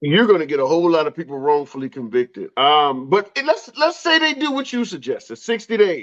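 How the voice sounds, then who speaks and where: With hardly any pauses, a man with a high voice speaks in an animated tone full of very wide pitch swings. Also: fairly quick pace. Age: 50s. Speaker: political talk show host. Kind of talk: heated debate.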